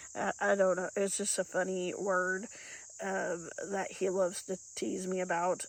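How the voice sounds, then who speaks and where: With an Appalachian accent, a woman of medium pitch speaks at a fairly slow pace in a monotone, flat intonation. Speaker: PhD holder. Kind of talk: casual talk to camera.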